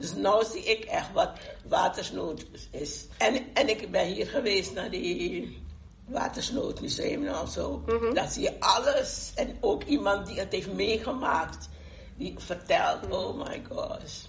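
At a very slow pace, a woman talks through audible room echo and noticeable background noise. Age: 70s. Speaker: grandmother and community activist. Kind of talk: group discussion.

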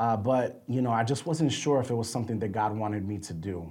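A man talks fairly quickly, and room echo is audible around his words. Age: 30s. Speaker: podcast host, Bible teacher. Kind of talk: casual chat.

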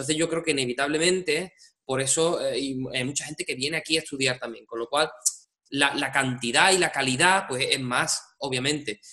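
Speaking fairly quickly, this man has a fairly high voice whose pitch varies in an ordinary way. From Andalusia, Spain (Seville province). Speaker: musical director. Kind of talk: interview. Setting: home studio. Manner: halting, many repetitions and fillers.

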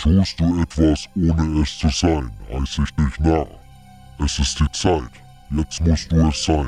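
A man's put-on character voice, very deep and low in pitch, at a fairly slow pace over clear music in the background. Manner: cryptic, riddling.

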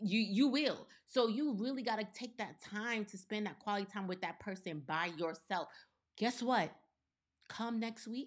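With an American accent, a woman in an ordinary speaking voice talks at a fairly slow pace, her fairly high pitch showing ordinary pitch variation. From US, partly Caribbean background. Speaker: podcast co-host. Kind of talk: casual chat.

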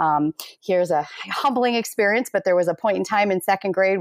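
Here is a woman with a normal speaking voice, fairly low in pitch, at a fairly quick pace. The recording is very clean, with a silent background. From US Midwest, Minnesota. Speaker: school administrator. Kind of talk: interview.

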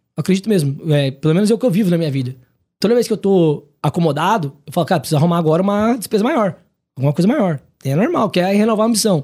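This man talks at a very fast pace, his high voice moving with lively intonation. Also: very even loudness. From Paraná, Brazil (Maringá). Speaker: consortium business owner, entrepreneur. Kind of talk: casual podcast interview. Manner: casual, colloquial.

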